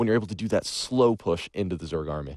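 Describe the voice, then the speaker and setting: With music in the background, a man speaks in an excited, animated tone with very wide pitch swings. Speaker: esports shoutcaster. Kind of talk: live game commentary.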